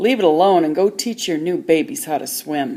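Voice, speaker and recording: A put-on character voice growls at a middle pitch. The pace is moderate. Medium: read story.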